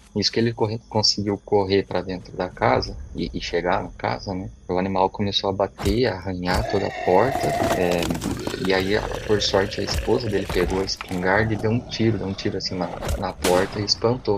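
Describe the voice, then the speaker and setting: Against noticeable background noise, a man speaks at a moderate pace, with a fairly low pitch and ordinary pitch variation. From São Paulo state, Brazil. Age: 30s. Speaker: listener sharing a story. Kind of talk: recorded personal story.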